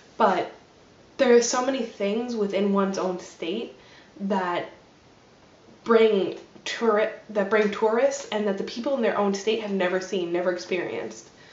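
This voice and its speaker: A woman with an American accent speaks at a moderate pace and a fairly high pitch. Room echo is audible. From New Jersey. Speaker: vlogger. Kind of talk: casual vlog monologue; casual vlog chat. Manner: hesitant, many fillers. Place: home room. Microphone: webcam.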